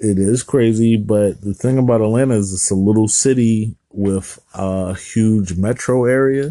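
A man's fairly low-pitched, dark, mellow voice at a fairly slow pace with hardly any pauses. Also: ordinary pitch variation. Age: 30s. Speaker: IT professional, podcast co-host. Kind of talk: casual chat.

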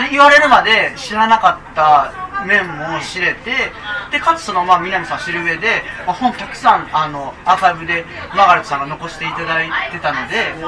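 A man with a high pitch and big swings in loudness, amid crowd noise and audible room echo. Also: moderate pace. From Japan, Nara Prefecture. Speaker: documentary film director. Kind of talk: casual interview chat. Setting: live public recording at a cafe with audience.

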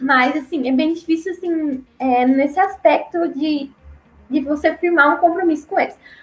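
A woman speaking at a fairly slow pace with ordinary pitch variation, music in the background. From Paraná, southern Brazil. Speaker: returned missionary. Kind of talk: interview testimony.

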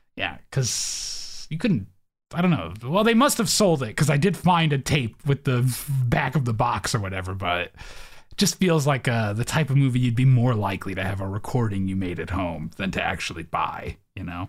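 A man talks at a medium pitch with very wide pitch swings. His voice is somewhat breathy. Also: moderate pace. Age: 30s. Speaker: podcast host. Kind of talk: casual chat.

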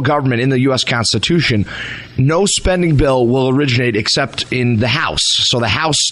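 Over noticeable background noise, a man with an American accent talks at a fairly quick pace in a medium pitch with ordinary pitch variation. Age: 20s. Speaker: state legislator. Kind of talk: talk radio interview.

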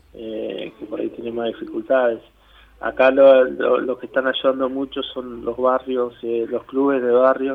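Noticeable background noise sits behind a man at medium pitch. He talks at a fairly slow pace with monotone, flat intonation. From Argentina, Greater Buenos Aires (Avellaneda/Quilmes). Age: 40s. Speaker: community leader in a shantytown. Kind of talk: interview. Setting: phone call. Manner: halting, many fillers and repetitions.

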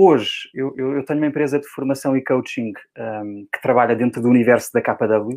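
A man talks with a European Portuguese accent at a moderate pace. His medium pitch has ordinary variation. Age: 40s. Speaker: real estate coach and trainer. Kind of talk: interview.

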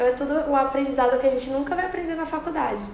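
A woman speaks at a high pitch with ordinary pitch variation. Audible room echo and noticeable background noise are present. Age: 20s. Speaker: university student and entrepreneur. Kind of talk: interview.

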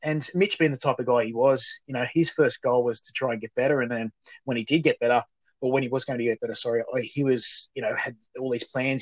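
With an Australian accent, the speaker talks at a very fast pace and ordinary pitch variation. The sound is dry and close with no echo. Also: man. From Australia, New South Wales (Muswellbrook). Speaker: charity founder. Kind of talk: casual interview.

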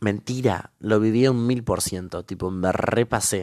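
The recording of this man is very clean, the background silent. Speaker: podcaster. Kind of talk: casual monologue. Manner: halting.

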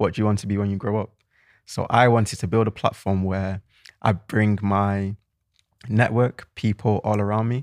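A man with a Mancunian accent speaks at a moderate pace in a fairly low, flat monotone, recorded dry and close with no echo on a very clean track with a silent background. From Manchester, England. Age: 20s. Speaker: podcast co-host. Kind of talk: casual chat.

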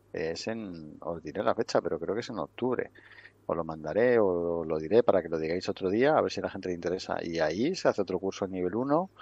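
The speech comes at a fairly quick pace with ordinary pitch variation, in a dry, close sound with no echo. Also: man, very deep, low pitch for a man. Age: 50s. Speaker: wrestling coaching school director. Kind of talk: interview. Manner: halting.

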